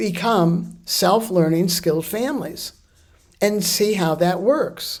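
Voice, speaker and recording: The speaker talks at a very slow pace with lively intonation. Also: woman, medium pitch for a woman. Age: 80s+. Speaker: childbirth educator. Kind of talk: monologue to camera.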